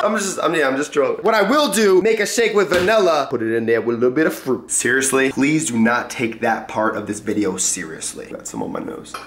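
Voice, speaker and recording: Fairly quick speech from a man, with clear background noise behind. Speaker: fitness vlogger. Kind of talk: casual vlog chat.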